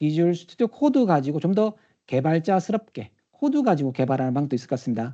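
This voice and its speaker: Very wide pitch swings mark a man's dark, mellow voice as he talks at a very fast pace, the sound dry and close with no echo over a quiet background. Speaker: technical trainer, conference speaker. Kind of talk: conference talk with demo. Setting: live session with audience, also streamed via Teams.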